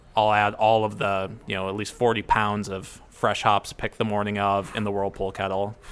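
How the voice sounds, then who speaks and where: The speaker has a Midwestern American accent and a moderate pace. The intonation is monotone and flat. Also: man, hardly any pauses. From Ohio, US. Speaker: brewmaster. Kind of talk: casual interview. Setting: at a brewery.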